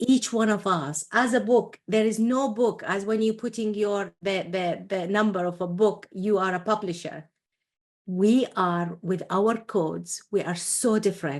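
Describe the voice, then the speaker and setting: With an Iraqi accent and a passionate tone, a woman of medium pitch speaks at a fairly slow pace with ordinary pitch variation over a quiet background. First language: Arabic. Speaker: entrepreneur and coach. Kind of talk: interview. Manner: halting.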